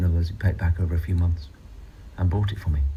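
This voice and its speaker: Very fast, lively male speech, very deep and low in pitch, with audible room echo. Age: 60s. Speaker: radio host. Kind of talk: radio show presenting.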